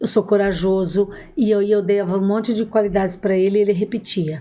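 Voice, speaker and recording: With fairly even intonation, this woman talks in a mellow, dark tone. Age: 60s. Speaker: adoptive mother. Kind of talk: podcast interview.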